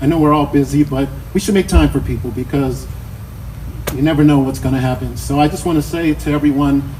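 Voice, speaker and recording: Noticeable background noise sits behind a man with an American accent. He talks very fast in a fairly high pitch. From Chicago, South Side. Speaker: memorial speaker, friend and former coworker. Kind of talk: eulogy. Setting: memorial service with audience. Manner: loud.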